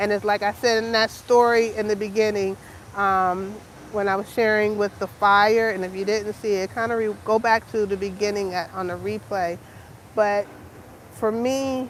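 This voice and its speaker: The pace is fairly slow. The intonation is monotone and flat. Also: woman. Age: 50s. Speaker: lifestyle vlogger. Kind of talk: casual live-stream vlog. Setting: live stream. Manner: hesitant, many fillers.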